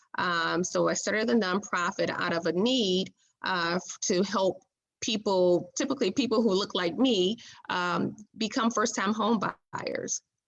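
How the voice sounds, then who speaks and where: Speaking fairly slowly, a woman uses a medium pitch with ordinary variation and vocal fry. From Detroit, Michigan. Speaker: real estate broker and housing counselor. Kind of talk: interview answer. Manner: conversational, with frequent fillers.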